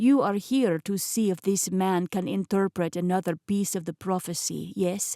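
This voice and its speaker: A woman puts on a gravelly character voice at medium pitch, talking at a moderate pace with ordinary pitch variation on a very clean recording with a silent background. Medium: read story. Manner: smooth, patronizing.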